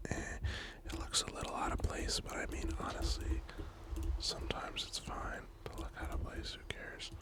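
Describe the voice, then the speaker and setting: Against noticeable background noise, a whisper proceeds at a moderate pace. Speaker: ASMR gaming creator. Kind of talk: ASMR gameplay commentary. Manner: whispered.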